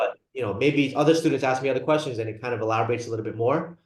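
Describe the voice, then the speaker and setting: Somewhat breathy, a man speaks at a very fast pace amid audible room echo. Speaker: psychiatry lecturer, nurse practitioner. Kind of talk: lecture. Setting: video call.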